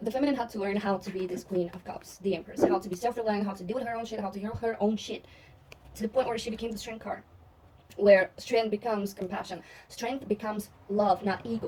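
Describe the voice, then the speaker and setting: Speaking very fast with a non-native accent, a woman at medium pitch swings widely in loudness. Background noise is noticeable. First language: not English. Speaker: tarot reader. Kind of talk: tarot reading monologue. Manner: animated.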